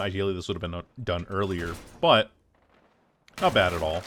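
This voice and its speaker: The man's voice sits fairly low in pitch. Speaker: gaming YouTuber. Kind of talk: gameplay commentary. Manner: fast.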